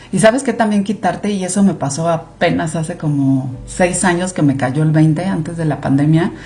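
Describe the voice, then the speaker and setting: A woman with a Mexican accent talks at a moderate pace, barely pausing, in a fairly low voice. Her intonation is lively, and noticeable noise sits behind her. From Mexico. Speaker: clinical research director. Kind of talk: podcast interview. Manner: animated.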